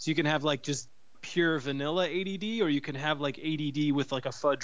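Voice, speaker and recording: A man talks in a normal speaking voice, his pitch fairly high with ordinary pitch variation, at moderate speed. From US Midwest, Cleveland. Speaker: podcast co-host. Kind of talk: casual chat. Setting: phone call.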